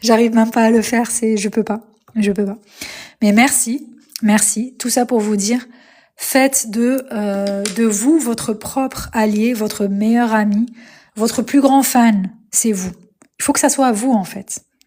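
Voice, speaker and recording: In a very clean recording with a silent background, a woman speaks very slowly with long, frequent pauses, her fairly high voice somewhat breathy, dark and mellow, with fairly even intonation. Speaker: spiritual coach livestreamer. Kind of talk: live stream talk. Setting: live stream. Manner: hesitant with many fillers.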